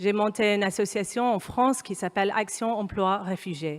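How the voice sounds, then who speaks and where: With an English accent, a woman speaks in a medium pitch with fairly even intonation, captured in a very clean recording with a silent background. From Kenya. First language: English (speaking French). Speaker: humanitarian consultant, panel speaker. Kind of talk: panel talk. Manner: hesitant, many fillers.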